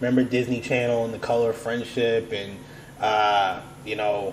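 Flat, monotone delivery from a man at medium pitch and moderate pace, with noticeable background noise. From United States. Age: 30s. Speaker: podcast host. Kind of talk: casual chat.

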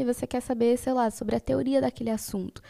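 The voice is dark and mellow and moves at a very fast pace, with a dry, close sound with no echo on a very clean recording with a silent background. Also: woman. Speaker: podcast co-host, physics student. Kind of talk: casual chat.

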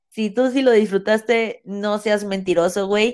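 This woman talks at a fairly slow pace and medium pitch, with a Mexican accent. The recording is very clean, with a silent background. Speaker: podcast co-host. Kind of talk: casual chat. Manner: animated.

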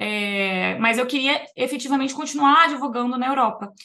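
A woman speaks in a plain, everyday voice. Her pace is moderate and her pitch variation ordinary. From Brazil, Niterói, Rio de Janeiro; teens in Vitória, Espírito Santo. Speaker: immigration lawyer. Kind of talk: casual interview chat.

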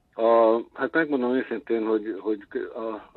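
Here a man talks at a fairly slow pace. His pitch variation is ordinary. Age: 60s. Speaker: intermedia artist. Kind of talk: interview. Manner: halting.

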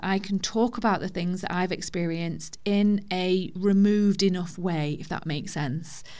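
A woman speaks in an ordinary speaking voice at medium pitch and a moderate pace, with ordinary pitch variation and hardly any pauses. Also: very clean recording, silent background. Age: 30s. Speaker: podcast host sharing divorce experience. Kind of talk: personal monologue. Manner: informal, conversational.

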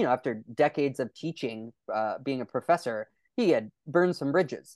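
The speaker has a Californian accent and lively intonation. The sound is dry and close, with no echo. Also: man. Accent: Californian American English. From California (Lodi). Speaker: documentary filmmaker and pastor. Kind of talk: interview.

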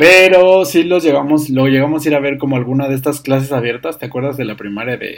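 Talking at a very fast pace, a man barely pauses at all. His pitch is fairly high, with ordinary variation. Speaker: podcast guest, host's cousin. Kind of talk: casual chat. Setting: home-made studio.

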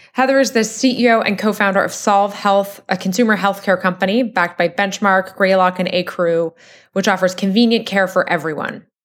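Here is a woman with a plain, everyday voice at medium pitch. She talks at a fairly quick pace on a very clean recording with a silent background. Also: very even loudness. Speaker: podcast host. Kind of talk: podcast interview.

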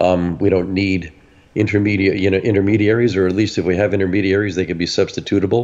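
A man at a very fast pace, with monotone, flat intonation and very even loudness. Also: fairly low pitch for a man. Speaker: panelist. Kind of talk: casual panel discussion. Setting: video call.

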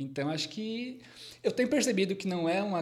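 Talking at a fairly quick pace with lively intonation, a man is heard over noticeable background noise. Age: 30s. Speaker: psychologist. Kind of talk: casual chat.

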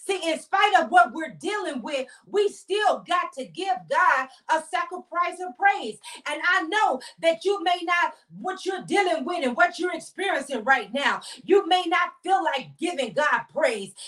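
With an extremely high pitch and a bright, sharp tone, a woman talks at a fairly slow pace in a passionate tone with lively intonation. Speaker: prophetess and inspirational show host. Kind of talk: devotional teaching and fervent prayer; fervent prayer of thanksgiving. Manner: fervent, repetitive praise with rising intensity; emphatic, passionate, declaring.

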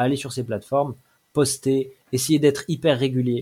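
A somewhat breathy voice with a dark, mellow tone at a moderate pace. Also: man. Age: 40s. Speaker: manga author and small publisher. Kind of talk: interview. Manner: halting.

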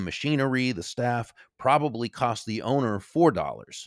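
A man's plain, everyday voice at medium pitch and moderate pace, with ordinary pitch variation, dry, close sound with no echo, and a very clean recording against a silent background. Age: 60s. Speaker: author and speaker. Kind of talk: interview.

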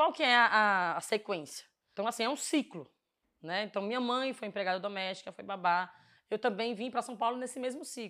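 A woman speaks in a fairly high, bright and sharp voice with lively intonation and big swings in loudness. The recording is very clean, with a silent background. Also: fairly quick pace. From Pernambuco, Brazil (Northeast). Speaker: housing movement activist. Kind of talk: casual monologue to camera.

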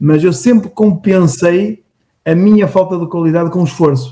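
A man's dark, mellow tone at a high pitch and a moderate pace. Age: 40s. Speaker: entrepreneur. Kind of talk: interview. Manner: halting.

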